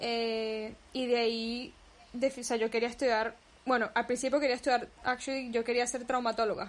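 A woman in a Caracas accent, high-pitched and monotone with flat intonation, at a moderate pace. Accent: Venezuelan Spanish, Caracas. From Venezuela, Caracas. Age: 20s. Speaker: photographer. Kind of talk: casual interview.

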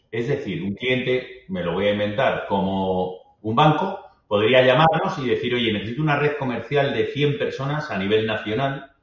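In a room with audible echo, a man of medium pitch speaks at a moderate pace with lively intonation and hardly any pauses. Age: 50s. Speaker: business executive. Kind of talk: interview conversation.

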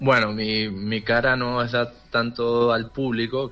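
This is a man's voice. He speaks at a fairly slow pace. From Tenerife. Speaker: trade office worker abroad. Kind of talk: interview.

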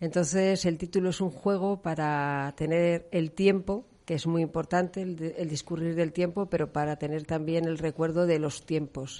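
Against a quiet background, a woman speaks at a fairly low pitch in a dark, mellow tone. Her pace is fairly slow, with fairly even intonation and hardly any pauses. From León, Spain. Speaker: novelist. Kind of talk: radio interview.

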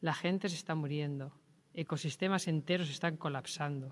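Here a man speaks at a moderate pace with fairly high pitch and ordinary pitch variation. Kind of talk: reading aloud. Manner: impassioned.

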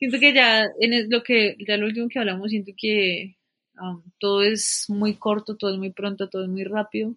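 Delivered at a moderate pace, the voice holds a monotone, flat intonation. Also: woman, fairly high pitch for a woman. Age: 20s. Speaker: environmental engineer. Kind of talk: casual chat.

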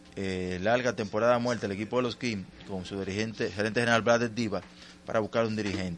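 A man speaks at a fairly quick pace in an ordinary speaking voice. His pitch sits fairly low, with fairly even intonation. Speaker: sports reporter. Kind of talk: sports report.

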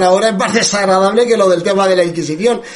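Over noticeable background noise, a man with a Spanish accent talks at a high pitch. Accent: Spanish (Spain). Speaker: radio host. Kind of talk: scripted narration; casual chat.

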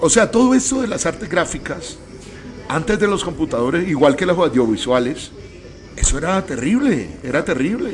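A man's high voice with very wide pitch swings at a moderate pace, plus audible room echo and noticeable background noise. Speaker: radio host. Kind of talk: radio interview. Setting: bar venue radio studio.

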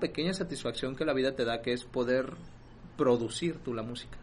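This man's voice has a bright, sharp tone and a medium pitch. He keeps a moderate pace. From Mexico, rural Jalisco. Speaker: podcast co-host. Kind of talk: casual chat.

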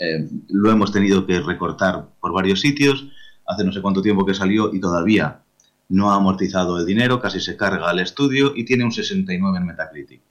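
This man speaks at a moderate pace with a fairly low pitch. His pitch variation is ordinary. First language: Catalan (bilingual with Spanish) (speaking Spanish). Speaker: video game writer. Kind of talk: interview.

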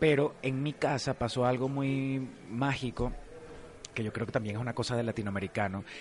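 A man talks in a normal speaking voice at a moderate pace. His pitch is medium, with ordinary pitch variation. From Venezuela. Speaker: actor. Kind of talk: casual interview.

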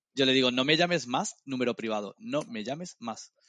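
A man with a normal speaking voice and medium pitch talks at a moderate pace with lively intonation, in a dry, close sound with no echo over a quiet background. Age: 30s. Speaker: podcast co-host. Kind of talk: casual chat.

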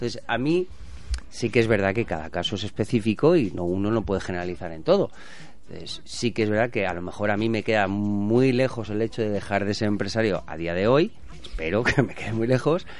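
This man has an unremarkable speaking voice, fairly low in pitch, moving at a fairly quick pace with ordinary pitch variation. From Spain, born in Barcelona. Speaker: businessman and former bullfighter. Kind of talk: casual chat.

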